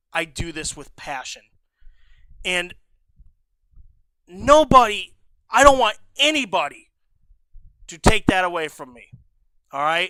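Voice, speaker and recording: A man uses a raised, projected voice with a bright, sharp tone, a high pitch, very wide pitch swings and big swings in loudness. He speaks at a fairly slow pace, leaving long, frequent pauses. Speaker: livestreamer. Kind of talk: casual livestream commentary. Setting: home stream room. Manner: stutters, trips over words; emotional, heartfelt.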